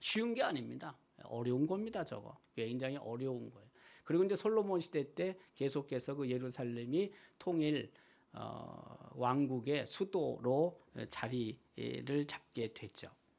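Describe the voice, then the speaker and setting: This man has an ordinary speaking voice with a fairly high pitch and lively intonation. He talks at a fairly slow pace with big swings in loudness. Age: 60s. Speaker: pastor. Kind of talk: sermon.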